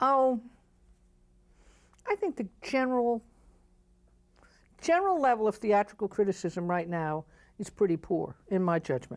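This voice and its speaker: A woman with an American accent at medium pitch and moderate pace, her pitch swinging very widely, with long, frequent pauses, on a very clean recording with a silent background. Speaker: Broadway producer. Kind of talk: interview answer, opinionated and candid. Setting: TV talk show studio.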